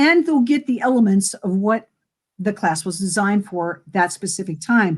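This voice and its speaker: A woman speaks at a fairly slow pace in a somewhat breathy, animated tone with lively intonation. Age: 60s. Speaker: wellness coach. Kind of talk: interview.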